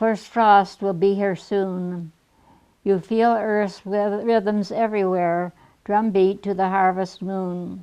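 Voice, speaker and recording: A woman speaks at a very slow pace in a medium-pitched voice with monotone, flat intonation. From Michigan. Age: 80s+. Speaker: poet. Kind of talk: poetry reading.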